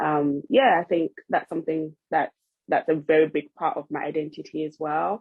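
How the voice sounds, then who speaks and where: Very deep and low in pitch, a woman speaks with fairly even intonation and a slight Nigerian accent. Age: 20s. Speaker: podcast co-host, trainee family psychotherapist. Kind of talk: casual chat.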